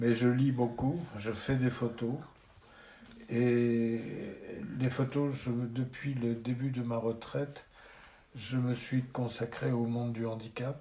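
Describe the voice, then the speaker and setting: A man speaks at a very slow pace with long, frequent pauses, his medium-pitched voice monotone and flat. Noticeable background noise runs behind him. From France, Charente-Maritime (Rochefort). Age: 70s. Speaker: retired photographer. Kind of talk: interview.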